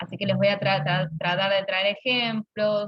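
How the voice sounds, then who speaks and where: A woman talks in an unremarkable speaking voice at a fairly slow pace. Her intonation stays fairly even. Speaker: university lecturer. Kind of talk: lecture.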